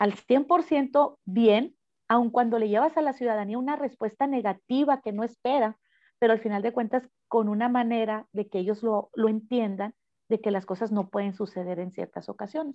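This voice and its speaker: A woman speaks at a moderate pace in a normal speaking voice. Her pitch is fairly high, with ordinary pitch variation. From Mexico, Cananea, Sonora. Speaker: mayoral candidate, politician. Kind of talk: interview.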